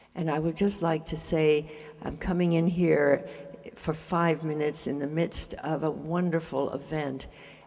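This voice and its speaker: Amid noticeable background noise, a woman speaks in a very deep, low voice, flat and monotone, at a fairly slow pace. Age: 80s+. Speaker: spiritual speaker. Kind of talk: inspirational speech.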